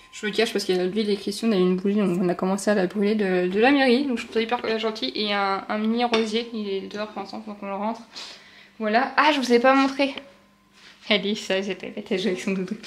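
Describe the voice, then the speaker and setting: This woman's pitch sits fairly high and varies in an ordinary way. She talks very fast. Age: 30s. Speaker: vlogger, new mother. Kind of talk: casual vlog. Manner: chatty, hesitant fillers.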